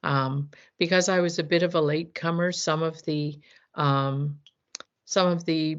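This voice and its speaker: In a fairly low pitch, a woman talks at a fairly slow pace. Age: 60s. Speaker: business founder. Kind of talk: interview. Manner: halting, with many fillers.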